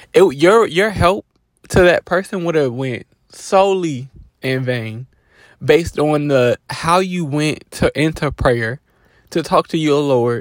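Fairly slowly and with lively intonation, a man speaks at a fairly high pitch, the sound dry and close with no echo. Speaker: life coach podcaster. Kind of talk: casual monologue. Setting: in a car.

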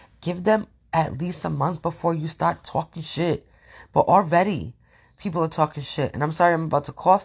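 Against a quiet background, a woman with a fairly low, somewhat breathy voice speaks at a fairly quick pace with ordinary pitch variation. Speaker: social media creator, suicide survivor. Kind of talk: personal monologue vlog. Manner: halting, many fillers.

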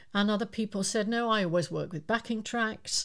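The intonation stays fairly even. The recording is very clean, and the background is silent. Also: woman. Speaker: singing teacher and podcast co-host. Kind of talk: casual chat.

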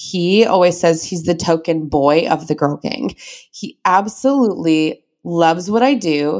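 A woman with an American accent uses an ordinary speaking voice at a fairly low pitch and a fairly slow pace with lively intonation, in a very clean recording with a silent background. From US suburbs. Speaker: former teacher turned business owner. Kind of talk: interview.

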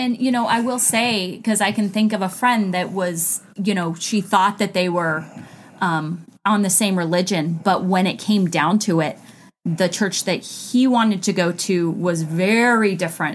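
A woman's unremarkable speaking voice at medium pitch with ordinary pitch variation, on a very clean recording with a silent background. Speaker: co-host, wife. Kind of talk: casual conversational podcast discussion.

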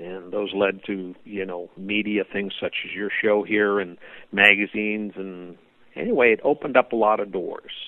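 A man's fairly low voice with an American accent, flat monotone intonation and big swings in loudness. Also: moderate pace. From US West Coast, Oakland, California. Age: 60s. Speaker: hot rod builder. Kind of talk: interview.

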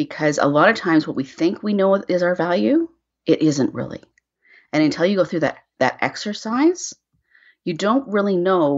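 A woman speaks with a Canadian accent. Her intonation is lively. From Canada. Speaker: brand storytelling consultant. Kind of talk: interview.

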